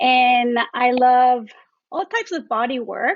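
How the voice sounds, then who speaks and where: At a very slow pace, a woman with a Mexican accent speaks in a high voice. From Mexico. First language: Spanish. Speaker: doula and traditional Chinese medicine therapist. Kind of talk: podcast interview.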